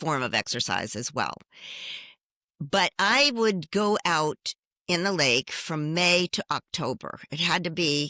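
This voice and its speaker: A woman speaks very slowly with lively intonation and a bright, sharp tone. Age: 70s. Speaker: fitness competitor. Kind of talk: interview.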